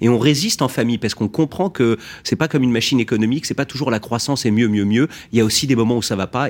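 Very fast speech comes from a man at a medium pitch with ordinary pitch variation. The recording is very clean, with a silent background. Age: 30s. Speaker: company executive. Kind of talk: radio interview.

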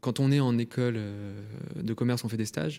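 Recorded very cleanly with a silent background, a man speaks at a fairly quick pace in a dark, mellow tone, at medium pitch with ordinary pitch variation. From France, Lyon. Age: 20s. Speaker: startup founder. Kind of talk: radio interview.

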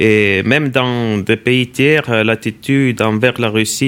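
At a very slow pace, a man of medium pitch talks with fairly even intonation. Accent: Estonian. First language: Estonian (speaking French). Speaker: ambassador. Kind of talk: interview. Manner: halting.

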